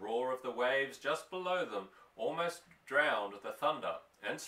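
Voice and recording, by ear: The intonation is lively as the passage is read aloud in a natural voice.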